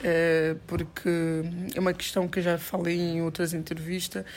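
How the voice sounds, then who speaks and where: A woman speaks at a moderate pace in a fairly low, flat, monotone voice, recorded very cleanly against a silent background. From São Tomé and Príncipe, moved to Portugal around age 10. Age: 20s. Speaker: women's rights activist and entrepreneur. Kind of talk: interview.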